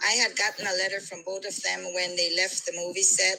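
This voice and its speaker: With a Belizean accent, a woman speaks at medium pitch and a moderate pace. Noticeable background noise sits behind her. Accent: Belizean Caribbean. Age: middle-aged. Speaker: caller. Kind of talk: casual chat.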